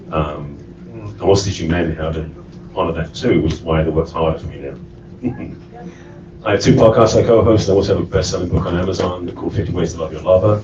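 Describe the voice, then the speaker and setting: With an English accent, the speaker talks at a very fast pace with ordinary pitch variation, amid noticeable background noise and audible room echo. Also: man, very deep, low pitch for a man. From England. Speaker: relationship coach. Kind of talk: panel self-introduction.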